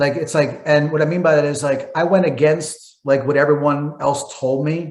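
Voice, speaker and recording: With a Philadelphia accent, a man speaks in a fairly high, somewhat breathy voice, monotone and flat, with hardly any pauses. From Philadelphia, US. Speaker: entrepreneur and marketer. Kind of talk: guest talk on coaching call. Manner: fast.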